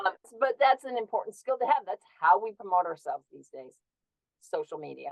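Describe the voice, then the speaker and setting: Vocal fry marks this woman's fairly high voice, which swings very widely in pitch and loudness shifts in big swings. She talks at a fairly quick pace in a dry, close sound with no echo. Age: 60s. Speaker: herbal wellness entrepreneur. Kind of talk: interview.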